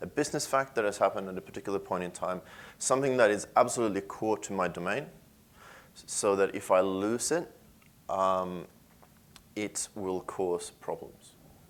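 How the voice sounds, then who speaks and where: A man speaks at a fairly low pitch and a moderate pace with a slight Swedish accent and ordinary pitch variation. His loudness swings widely, and he takes long, frequent pauses. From Sweden. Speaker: software engineer. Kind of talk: conference talk. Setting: stage with audience.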